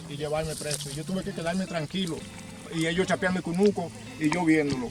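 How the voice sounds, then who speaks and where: With music playing in the background, a man talks in a fairly high pitch with fairly even intonation. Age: 60s. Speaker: farmer. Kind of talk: testimony.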